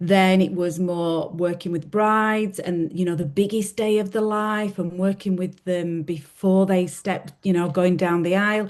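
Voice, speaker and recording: Against a quiet background, a woman speaks with a Yorkshire accent at a fairly slow pace. Her pitch is medium, her intonation fairly even, and she leaves hardly any pauses. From Yorkshire, Leeds. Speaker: podcast co-host. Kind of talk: casual chat. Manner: hesitant, with fillers.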